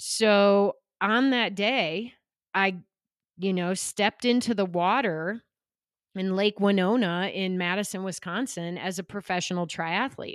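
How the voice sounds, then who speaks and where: On a very clean recording with a silent background and a dry, close sound with no echo, a woman speaks in a plain, everyday voice at medium pitch, at a fairly slow pace with fairly even intonation. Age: 40s. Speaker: former pro triathlete and entrepreneur. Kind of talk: interview.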